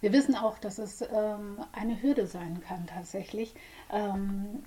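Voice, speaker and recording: Her voice is medium in pitch with ordinary variation, and she talks at a fairly slow pace. Noticeable background noise sits behind this woman. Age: 40s. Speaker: psychotherapist. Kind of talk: casual chat. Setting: studio.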